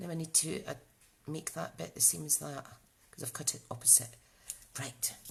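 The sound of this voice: A woman speaks low in pitch with a Scottish accent. Her intonation stays fairly even, with vocal fry. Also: moderate pace.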